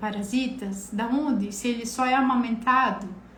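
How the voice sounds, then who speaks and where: A woman speaks at a high pitch and a moderate pace. Her intonation stays fairly even, and the room echo is audible. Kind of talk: live stream health talk. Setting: live stream.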